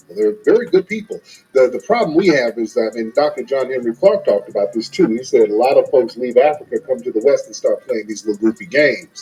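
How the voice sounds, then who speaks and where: Music in the background beneath a man's very fast speech. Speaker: YouTube reaction streamer. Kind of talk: live stream call-in chat.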